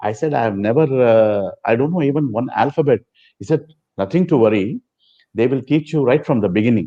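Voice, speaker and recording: A man with a Telugu accent talks at a fairly quick pace with lively intonation. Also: medium pitch for a man. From South India, Chennai. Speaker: former student and devotee. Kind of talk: interview storytelling.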